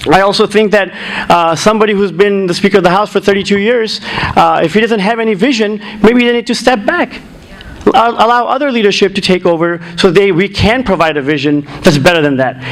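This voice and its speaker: Noticeable background noise sits behind a man with a high pitch. He talks at a fairly quick pace with ordinary pitch variation. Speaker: political candidate. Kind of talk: candidate forum debate answers. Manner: informal with many fillers and restarts. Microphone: muffled sound, volume adjusted.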